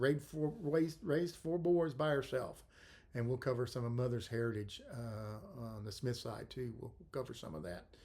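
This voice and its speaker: A man speaks with a Texan accent and lively intonation. His voice is somewhat breathy. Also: medium pitch for a man, moderate pace. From South Texas, Corpus Christi. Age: 60s. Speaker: podcast host. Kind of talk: casual monologue. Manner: hesitant, many fillers.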